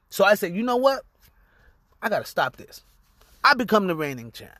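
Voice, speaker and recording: On a very clean recording with a silent background, a man uses a raised, projected voice at a moderate pace, high-pitched with a bright, sharp tone, very wide pitch swings, big swings in loudness, and long, frequent pauses. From Los Angeles area, California. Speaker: podcast host and musician. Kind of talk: personal storytelling monologue. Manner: casual, profanity-laced.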